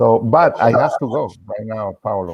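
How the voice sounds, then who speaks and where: With a Spanish accent, a man speaks at a fairly low pitch. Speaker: tuna musician. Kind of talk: farewell remarks in video chat. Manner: halting.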